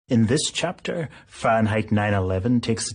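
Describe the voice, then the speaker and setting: A man's speech proceeds at a middling speed. There is some breathiness, and his pitch varies in a usual way. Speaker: documentary narrator and film critic. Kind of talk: documentary narration.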